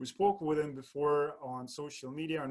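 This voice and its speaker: This man has a fairly high pitch and fairly even intonation at a moderate pace. It is an ordinary speaking voice. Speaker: podcast host. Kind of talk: interview host talk.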